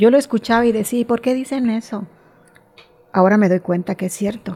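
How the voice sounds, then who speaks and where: A woman with a Mexican accent speaks at a fairly quick pace. Her voice is fairly high, with a dark, mellow tone. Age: 60s. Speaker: amateur cyclist. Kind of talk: interview.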